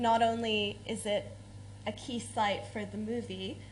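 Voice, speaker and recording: A woman with an American accent, in audible room echo. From United States. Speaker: academic researcher. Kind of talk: conference talk.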